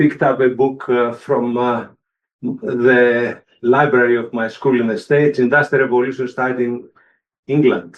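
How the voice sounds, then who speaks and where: A man with a Greek accent, medium pitch, moderate pace and fairly even intonation. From Greece. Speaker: engineering professor. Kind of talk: panel introduction. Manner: halting, many fillers.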